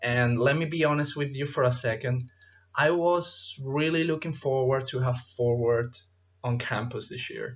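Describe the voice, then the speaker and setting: Speaking at a moderate pace, a man keeps a medium pitch with fairly even intonation. His voice is somewhat breathy. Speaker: chiropractic student presenter. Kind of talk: conference presentation. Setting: virtual conference. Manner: formal.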